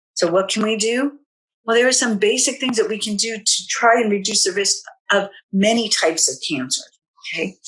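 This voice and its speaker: A woman with a plain, everyday voice talks at a fairly quick pace. Her pitch is fairly high and her intonation lively. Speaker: health educator. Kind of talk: webinar presentation.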